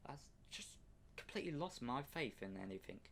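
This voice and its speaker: A man talks at a fairly slow pace with a British accent. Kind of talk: political rant to camera. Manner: angry, profane.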